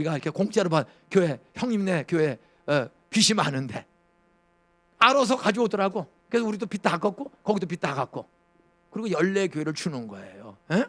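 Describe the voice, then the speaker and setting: A man speaks fairly quickly, with a high pitch and very wide pitch swings. His delivery is broken by long, frequent pauses. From Gyeonggi Province, South Korea. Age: 70s. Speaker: pastor. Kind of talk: sermon. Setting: church. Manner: animated.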